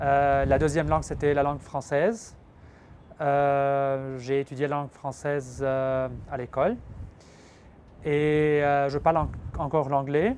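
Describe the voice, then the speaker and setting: A man with a fairly high voice and an Arabic accent speaks at a very slow pace, with fairly even intonation and long, frequent pauses. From Lebanon. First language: Arabic (speaking French). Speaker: filmmaker. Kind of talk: interview. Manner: hesitant.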